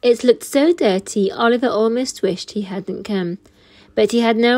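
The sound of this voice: The pitch moves in an ordinary way within an unforced reading voice.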